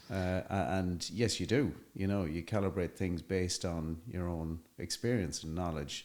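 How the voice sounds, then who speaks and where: Speaking in an Irish accent, a man with a very deep, low pitch talks at a moderate pace with ordinary pitch variation. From Ireland. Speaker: construction entrepreneur. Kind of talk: podcast interview. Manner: hesitant, many fillers.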